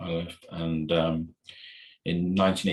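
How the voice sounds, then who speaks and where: A man speaks with a North Welsh accent in a very deep, low pitch. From North Wales, Ruthin. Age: 60s. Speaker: podcast guest, religious devotee. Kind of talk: casual interview chat. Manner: halting, repetitive.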